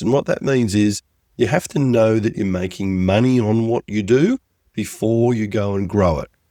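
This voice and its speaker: The voice has a dark, mellow tone and an Australian accent, at a moderate pace with ordinary pitch variation. The sound is dry and close, with no echo. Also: man. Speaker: business coach. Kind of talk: podcast tutorial.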